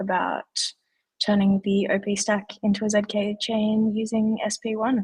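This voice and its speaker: A woman with an Australian accent at a fairly slow pace, in a dry, close sound with no echo. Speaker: livestream host. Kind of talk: casual chat. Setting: live stream.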